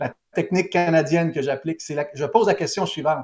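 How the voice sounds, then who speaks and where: The speaker is a man. He talks with a Quebec accent. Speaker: pollster. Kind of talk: interview. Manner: halting.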